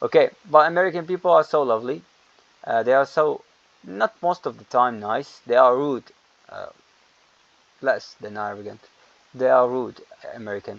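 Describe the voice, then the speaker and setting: With a non-native accent, a man talks at a moderate pace with lively intonation, big swings in loudness and long, frequent pauses, in a dry, close sound with no echo. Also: medium pitch for a man. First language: not English. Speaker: English teacher. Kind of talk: lecture. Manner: halting.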